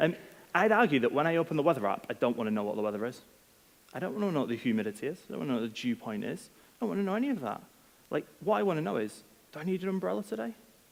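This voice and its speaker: A man with a Manchester accent talks at a very fast pace. His fairly high voice swings very widely in pitch. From northern England, Manchester. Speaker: product head, conference speaker. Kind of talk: conference talk. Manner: casual, many filler ums.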